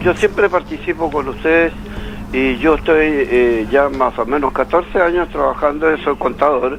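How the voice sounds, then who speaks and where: A man with a fairly high pitch speaks at a fairly slow pace with ordinary pitch variation. Noticeable background noise can be heard. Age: 80s+. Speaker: caller. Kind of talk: phone-in opinion. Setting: phone call. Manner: animated; halting.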